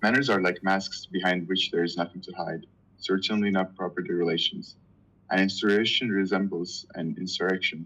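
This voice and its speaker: This man talks fairly quickly with a Turkish accent. His voice is very deep and low, and his intonation stays fairly even. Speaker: reading group member. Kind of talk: reading aloud. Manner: halting.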